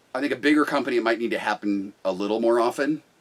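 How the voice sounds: A loud man at a medium pitch and a fast pace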